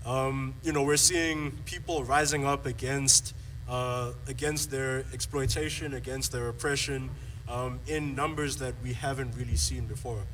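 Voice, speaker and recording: Noticeable background noise and audible room echo are present. Through them, a man talks at a fairly slow pace. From South Africa. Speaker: activist panelist. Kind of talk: panel discussion. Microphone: poor sound early in recording.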